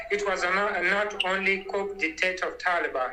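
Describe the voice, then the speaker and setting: A raised, projected voice comes at a fairly slow pace over noticeable background noise. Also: man. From Afghanistan. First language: not English. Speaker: Afghan interviewee. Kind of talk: interview. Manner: halting.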